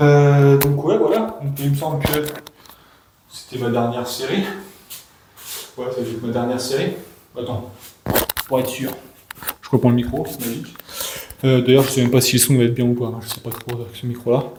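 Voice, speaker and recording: Long, frequent pauses break up a man's fairly quick speech, which swings widely in loudness. Audible room echo and noticeable background noise are present. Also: medium pitch for a man, ordinary pitch variation. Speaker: fitness coach. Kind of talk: casual chat. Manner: fast; halting. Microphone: echo in the room.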